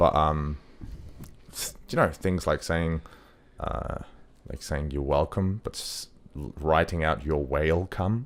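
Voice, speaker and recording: In an Australian accent, a man with a very deep, low pitch speaks fairly slowly with long, frequent pauses and ordinary pitch variation, in a very clean recording with a silent background. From Australia and Denmark. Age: 20s. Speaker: model and actor. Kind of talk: casual chat. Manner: halting.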